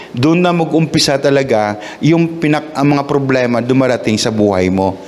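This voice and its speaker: Amid noticeable background noise and audible room echo, a man with a Visayan accent talks at a moderate pace. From Visayas, Philippines. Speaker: pastor. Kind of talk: sermon. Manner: halting, with repetitions and fillers.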